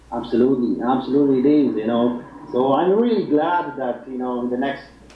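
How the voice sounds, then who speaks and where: A man's medium-pitched voice at a fairly quick pace, with ordinary pitch variation, audible room echo and noticeable background noise. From Poland. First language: Polish. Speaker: fitness website founder. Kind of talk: interview. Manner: halting.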